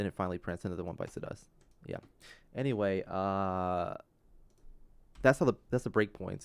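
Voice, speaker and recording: A quiet man with fairly low pitch, very fast pace, and fairly even intonation, on a very clean recording with a silent background. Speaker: game developer livestreamer. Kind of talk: live coding tutorial stream. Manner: halting, many fillers.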